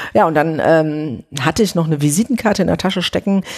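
Very fast speech comes from a woman with a very deep, low pitch. Her intonation is lively. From Ruhr area, Germany (Oberhausen). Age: 40s. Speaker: TV journalist. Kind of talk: interview, casual chat. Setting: at home on a sofa.

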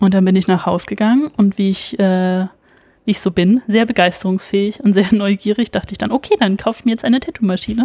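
Her voice is somewhat breathy, with a dark, mellow tone. The woman speaks at a medium pitch with ordinary pitch variation. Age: 20s. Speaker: illustrator and tattoo artist. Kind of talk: casual interview.

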